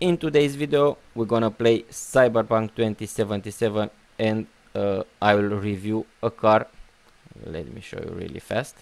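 With a non-native accent, a man speaks at a fairly slow pace in a fairly low pitch, with ordinary pitch variation and big swings in loudness. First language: not English. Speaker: gaming YouTuber. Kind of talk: gameplay commentary. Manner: casual, halting with fillers.

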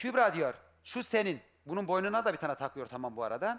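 A man with a high pitch speaks in an animated tone at a moderate pace. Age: 40s. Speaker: husband seeking his wife on a TV show; talk show guest. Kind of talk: emotional testimony. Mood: upset, aggrieved. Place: studio. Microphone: headset.

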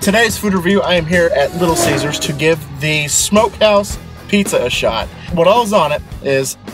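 Faint music plays behind a man with a high voice and ordinary pitch variation. The sound is dry, with no echo. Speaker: food reviewer. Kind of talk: casual vlog chat. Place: car. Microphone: phone near.

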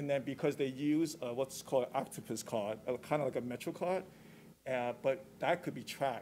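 A man's voice, medium in pitch, carries a dark, mellow tone. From Hong Kong. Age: 40s. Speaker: artist and war veteran. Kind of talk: panel talk. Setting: stage with audience. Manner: halting.

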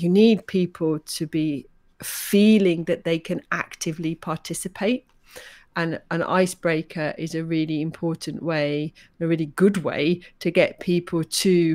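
A woman uses a normal speaking voice with fairly low pitch. Her intonation is fairly even against a quiet background. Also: fairly slow pace. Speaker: podcast co-host. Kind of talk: podcast conversation. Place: home room.

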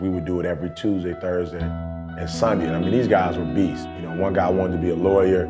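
Over clear background music, a man with an American accent talks at a fairly quick pace in a very deep, low pitch. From Detroit, USA. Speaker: motivational speaker. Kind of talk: personal story told in a documentary interview. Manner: casual, reflective. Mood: reflective, earnest storytelling. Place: studio. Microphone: lapel.

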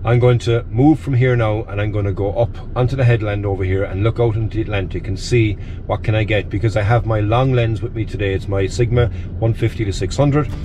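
An unremarkable speaking voice: a man talking fairly quickly at a fairly low pitch with fairly even intonation. Light background noise is present. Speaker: photography vlogger. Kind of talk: casual vlog chat. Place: car. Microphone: phone near.

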